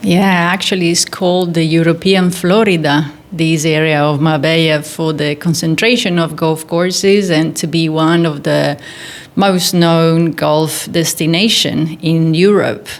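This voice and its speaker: A woman speaks at a fairly slow pace in an Italian accent, with a fairly low pitch and fairly even intonation. Her loudness stays very even over noticeable background noise. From northern Italy, near Milan. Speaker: golf teacher and physiotherapist. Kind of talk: interview.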